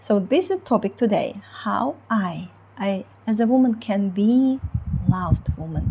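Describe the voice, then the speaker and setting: A woman speaks with a Ukrainian accent. Her pace is fairly slow. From Ukraine. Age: 30s. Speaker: relationship coach. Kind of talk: online coaching talk. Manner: halting, many fillers.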